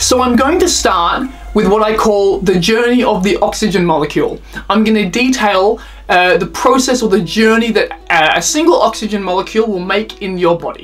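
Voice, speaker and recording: Someone with an Australian accent talks at a moderate pace against noticeable background noise. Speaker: freediving instructor. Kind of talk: lecture.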